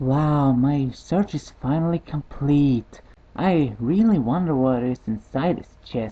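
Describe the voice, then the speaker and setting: A man puts on a character voice pitched fairly high. He delivers it at a fairly slow pace. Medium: read story.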